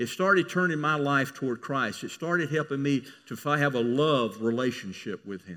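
A man with a Southern US accent and a fairly high pitch speaks in a bright, sharp tone with lively intonation. His moderate pace has hardly any pauses, in a very clean recording with a silent background. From US South. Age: 70s. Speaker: pastor. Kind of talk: sermon.

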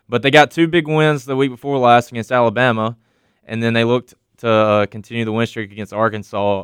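This is a man with a normal speaking voice at a medium pitch. He talks at a fairly quick pace in a dry, close recording with no echo. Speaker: college radio sports co-host. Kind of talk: sports talk radio. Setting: studio.

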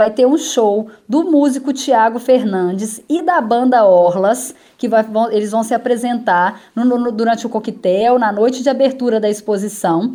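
Her fairly high voice showing ordinary pitch variation, a woman talks with hardly any pauses. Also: fairly slow pace. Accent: Minas Gerais. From Minas Gerais, Brazil (Itaúna). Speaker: travel journalist. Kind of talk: radio interview.

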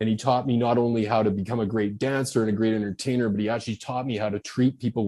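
A Canadian-accented man's medium-pitched voice, dark and mellow in tone, monotone and flat. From Canada. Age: 50s. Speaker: author and former exotic dancer. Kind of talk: casual interview chat.

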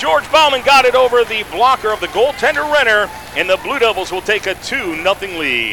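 Over noticeable background noise, a man projects a raised voice at a high pitch with lively intonation. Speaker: radio play-by-play announcer. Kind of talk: live commentary. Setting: radio broadcast from arena. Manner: rapid-fire, fluent play-by-play; animated, steady, energetic.

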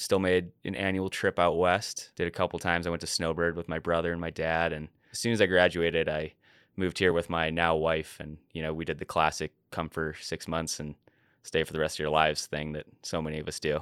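Very deep and low, a man's voice moves at a fairly quick pace in a flat monotone, recorded very cleanly over a silent background. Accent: American. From US Midwest, suburban Chicago. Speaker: journalist and avalanche educator. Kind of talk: interview.

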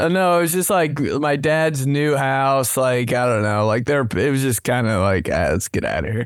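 A man talks at a moderate pace and medium pitch, with hardly any pauses. His intonation is lively and his loudness very even. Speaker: podcast host. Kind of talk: casual chat. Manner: animated.

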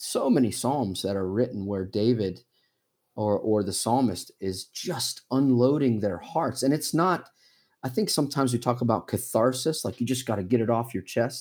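This man has a normal speaking voice at medium pitch, ordinary pitch variation and a moderate pace. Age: 40s. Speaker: missionary. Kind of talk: casual chat. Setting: video call.

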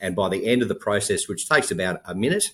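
Someone speaks at a very fast pace with an American accent. The recording is very clean, with a silent background. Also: man. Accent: noticeable foreign accent to US host. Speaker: health tech company founder. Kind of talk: interview.

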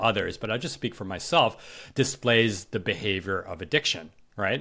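A very clean recording with a silent background, an ordinary speaking voice, a moderate pace and ordinary pitch variation. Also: man. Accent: American. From New York. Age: 40s. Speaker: podcaster and writer, former Wall Street manager. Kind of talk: interview conversation.

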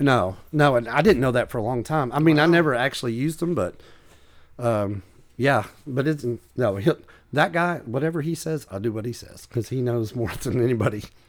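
An ordinary speaking voice with an American accent, fairly quick, with ordinary pitch variation, on a very clean recording with a silent background. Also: man, medium pitch for a man. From US South, East Tennessee. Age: 40s. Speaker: comedian and rare book collector. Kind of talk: casual chat.

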